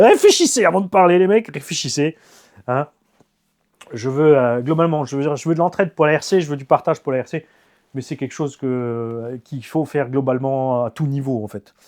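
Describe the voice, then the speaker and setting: A man with an animated tone and fairly high pitch speaks at a moderate pace, with ordinary pitch variation and big swings in loudness, on a very clean recording with a silent background. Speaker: RC car YouTuber. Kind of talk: casual monologue. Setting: home garage.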